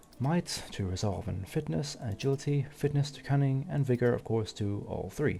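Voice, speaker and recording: Music plays behind a man's voice. He speaks at a moderate pace with lively intonation. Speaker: gaming YouTuber. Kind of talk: gameplay commentary. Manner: halting.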